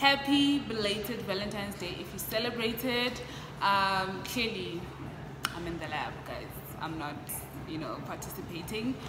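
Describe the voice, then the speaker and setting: Noticeable background noise sits behind a woman's voice. She keeps a moderate pace with long, frequent pauses. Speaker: postgraduate engineering student vlogger. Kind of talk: casual vlog chat.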